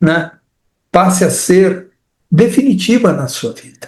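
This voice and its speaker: The man's voice is high in pitch, with a dark, mellow tone. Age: 70s. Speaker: participant. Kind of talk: testimony. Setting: online live stream.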